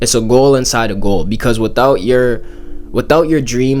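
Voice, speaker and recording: A man's mid-range voice carries fairly level intonation while echo from the room can be clearly heard. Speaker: YouTuber. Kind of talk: casual monologue. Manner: halting, repeats words.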